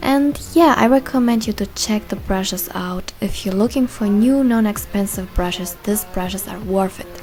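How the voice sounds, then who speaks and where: A woman with a German accent talks at a medium pitch with hardly any pauses. Noticeable background noise is present. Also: ordinary pitch variation, moderate pace. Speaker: beauty vlogger. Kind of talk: tutorial.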